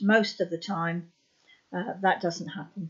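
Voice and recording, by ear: Speaking at a fairly slow pace, a woman keeps a fairly low pitch and fairly even intonation.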